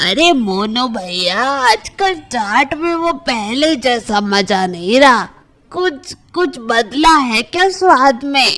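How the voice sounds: In a cartoonish character voice, a woman speaks at a very slow pace and a high pitch with very wide pitch swings.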